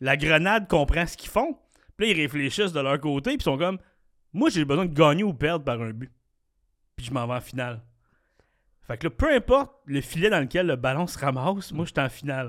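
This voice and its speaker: On a very clean recording with a silent background, a man with a Quebec accent talks at a fairly quick pace in a fairly high voice with lively intonation and long, frequent pauses. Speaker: podcast host. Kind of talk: casual chat; quiz hosting. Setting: studio.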